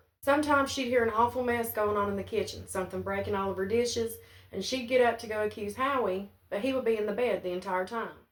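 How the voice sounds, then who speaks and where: With an Appalachian accent, a woman speaks at a very fast pace in a fairly high pitch, her intonation fairly even. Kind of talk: family ghost story told to camera.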